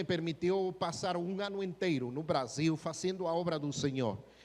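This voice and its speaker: Speaking with a Spanish accent, a man with a fairly high pitch keeps a moderate pace and ordinary pitch variation. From Guatemala. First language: Spanish (speaking Portuguese). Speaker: missionary pastor. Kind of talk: sermon. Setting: church.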